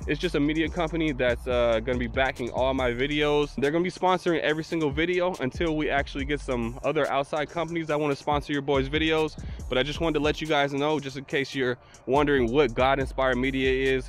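Over faint music in the background, a man talks at a very fast pace with fairly even intonation, the sound dry with no echo. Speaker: e-bike vlogger. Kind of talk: casual vlog chat. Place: open country. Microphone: handheld.

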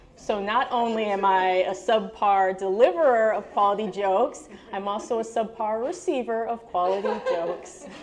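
This woman talks at a moderate pace in a fairly high pitch, with ordinary pitch variation. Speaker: storytelling student, part-time English teacher. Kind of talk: storytelling performance. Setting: stage with audience. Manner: animated, laughs often. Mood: light, humorous. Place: cafe. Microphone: handheld.

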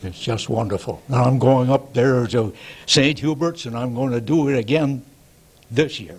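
A somewhat breathy man with an American accent speaks at a moderate pace. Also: ordinary pitch variation. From New York. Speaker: retiree and war veteran; interviewee. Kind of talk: casual interview. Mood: cheerful, animated. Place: home room. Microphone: handheld.

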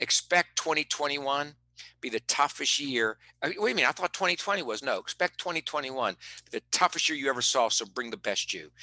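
With an American accent, a man speaks in a bright, sharp tone, the sound dry with no echo over a quiet background. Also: fairly high pitch for a man, ordinary pitch variation, moderate pace. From West Virginia. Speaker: performance psychologist and motivational speaker; interview guest, performance coach. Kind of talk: interview. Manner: animated. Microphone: headset.

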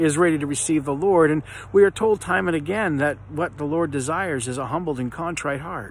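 Lively intonation marks this man's voice, recorded dry with no echo and a little background noise. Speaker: speaker. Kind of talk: devotional reflection. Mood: earnest, reflective. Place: garden. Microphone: phone near.

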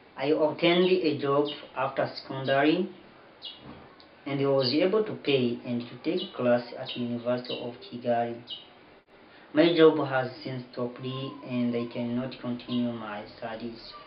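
Audible room echo and light background noise surround a man speaking at a moderate pace. His loudness swings widely while his pitch varies in an ordinary way. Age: 20s. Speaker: university student. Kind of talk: appeal for donations read to camera. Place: home room. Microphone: camera far.

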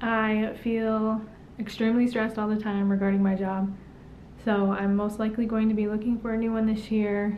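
At a moderate pace and very even loudness, a woman talks in a flat monotone at a fairly high pitch over light background noise. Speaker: YouTube vlogger. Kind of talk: casual vlog monologue. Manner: casual, conversational. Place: home room. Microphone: camera far.

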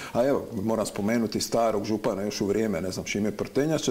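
Ordinary pitch variation marks a man talking at a very fast pace in a dark, mellow tone. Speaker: TV show host. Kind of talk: TV interview. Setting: studio. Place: studio. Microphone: lapel.

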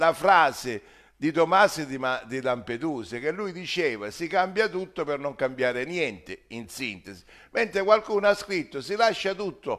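The voice makes very wide pitch swings at a moderate pace. The background is quiet. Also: man. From Sicily. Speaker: social commentator; political commentator. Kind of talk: monologue. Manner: animated. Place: kitchen.

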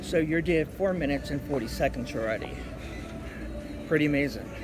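Fairly quick speech with ordinary pitch variation over clear background music. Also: man. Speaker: workout coach. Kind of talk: casual vlog chat. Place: gym. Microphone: phone near.

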